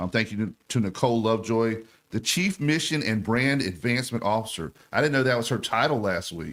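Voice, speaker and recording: Over a silent background in a very clean recording, a man talks in an animated tone with lively intonation. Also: medium pitch for a man, fairly quick pace, hardly any pauses. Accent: Southern US. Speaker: sports radio host. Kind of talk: radio talk show. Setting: radio studio. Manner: fast.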